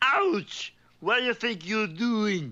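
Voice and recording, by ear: This is a cartoonish character voice, female-sounding and fairly high in pitch.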